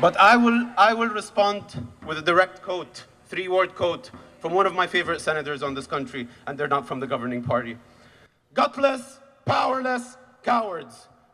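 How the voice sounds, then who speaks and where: Projecting a raised voice at a high pitch, a man swings very widely in pitch at a moderate pace, with long, frequent pauses. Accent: Arabic. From Khan Younis, Gaza, Palestine. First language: Arabic. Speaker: activist. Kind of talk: rally speech. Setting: outdoor rally with crowd. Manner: loud.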